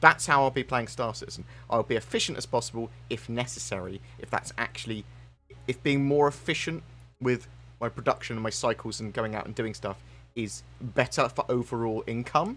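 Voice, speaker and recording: Over music in the background, a man speaks with big swings in loudness. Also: fairly quick pace. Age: 30s. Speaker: gaming youtuber. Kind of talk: live stream chat. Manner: stutters, self-corrects; rambling, fast.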